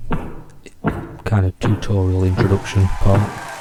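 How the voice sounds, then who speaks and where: A quiet man's very deep, low, monotone and flat voice against noticeable background noise. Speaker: indie game developer. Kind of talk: casual tutorial walkthrough.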